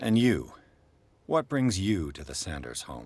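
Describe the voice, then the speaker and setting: Using a put-on character voice, a man talks at a fairly slow pace with a very deep, low pitch and very wide pitch swings. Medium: video game. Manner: dry, laconic.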